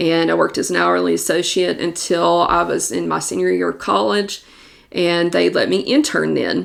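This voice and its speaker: The speaker talks at a moderate pace. The accent is Southern US. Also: woman. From Kentucky, Somerset. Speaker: real estate agent. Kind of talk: podcast monologue. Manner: casual, conversational.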